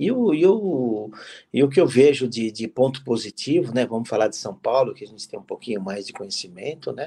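A man's dark, mellow voice moves at a fairly quick pace. His intonation is lively, and his loudness swings widely. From Brazil. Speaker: football club executive; guest. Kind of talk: interview. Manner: halting, many fillers. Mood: relaxed, conversational. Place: home room. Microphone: video call.

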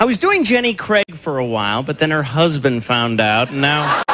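A man's fairly high voice at a fairly quick pace, with very wide pitch swings and hardly any pauses. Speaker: stand-up comedian. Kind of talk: stand-up comedy routine. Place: stage. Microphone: handheld.

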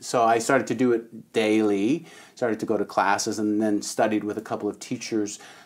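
An unremarkable speaking voice from a man at medium pitch, with a fairly quick pace and fairly even intonation. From Canada (Toronto area); Ontario, Canada. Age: 50s. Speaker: breathwork healer; podcast guest. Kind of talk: casual interview. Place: studio.

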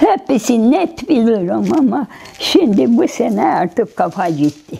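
Her pace is very slow. The woman's pitch swings very widely. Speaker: recovered patient. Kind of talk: interview. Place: home room. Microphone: lapel.

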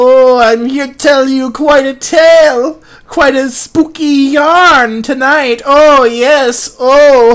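In a put-on character voice, a high-pitched speaker cackles in a sinister tone at a very slow pace with hardly any pauses. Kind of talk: over-the-top spooky story narration, comic overacting. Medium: comedy sketch. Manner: theatrical, drawn-out ominous "oh, yes" asides; cackling, mock-sinister.

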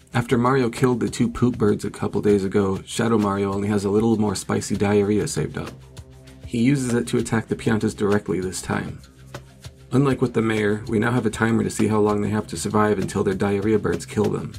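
Faint music sits behind a man talking at a very fast pace with a fairly low pitch and ordinary pitch variation. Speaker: video narrator. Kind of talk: comedic narration.

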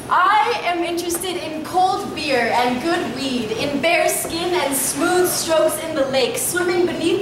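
A woman talks with ordinary pitch variation. Noticeable background noise and audible room echo come through. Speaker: slam poet. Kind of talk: sensual spoken word poetry performance. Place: shop. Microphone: camera far.

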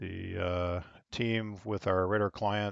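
A man is heard in a dry recording with no echo and a quiet background. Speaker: online air traffic control hobbyist streamer. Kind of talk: casual commentary while operating software. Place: home room. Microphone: headset.

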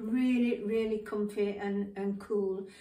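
A woman's fairly high voice in a British accent, with fairly even intonation, a very slow pace and audible room echo. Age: 70s. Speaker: fashion vlogger. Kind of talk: casual try-on fashion presentation. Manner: casual with many fillers and hesitations. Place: home room. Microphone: camera far.

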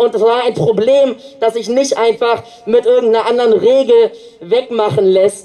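A man's extremely high-pitched voice, fairly even in intonation and moderate in pace, over music in the background. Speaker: climate activist speaker and rally organizer. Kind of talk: protest rally speech. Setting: outdoors at demonstration.

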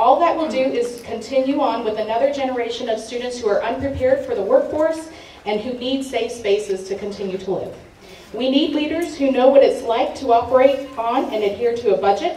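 Amid light background noise and audible room echo, a woman speaks at a fairly quick pace in a high voice with ordinary pitch variation. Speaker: council candidate. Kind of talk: campaign opening statement. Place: hall.

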